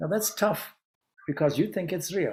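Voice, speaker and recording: The speaker is a man. He has a Zimbabwean accent. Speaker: Vedanta monk and spiritual teacher. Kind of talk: anniversary celebration talk. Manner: hesitant, with filler words.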